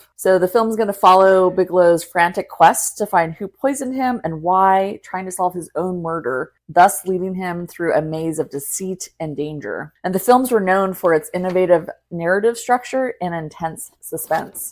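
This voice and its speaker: This woman has an ordinary speaking voice at a medium pitch. She talks at a moderate pace with hardly any pauses. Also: ordinary pitch variation. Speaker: podcast host. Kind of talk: podcast intro and wine tasting talk.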